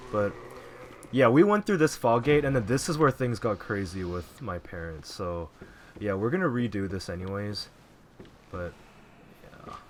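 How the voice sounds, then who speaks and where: A soft-spoken man, fairly low in pitch, with long, frequent pauses. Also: lively intonation, moderate pace. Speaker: gaming YouTuber. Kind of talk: gameplay commentary. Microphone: audio balance was poor, voice hard to hear.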